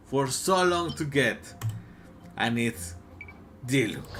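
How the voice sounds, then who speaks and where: A man with a Mexican accent talks at a very slow pace, with audible room echo and music in the background. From Mexico. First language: Spanish. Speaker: gaming YouTuber. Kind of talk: casual game commentary video. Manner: hesitant, many fillers.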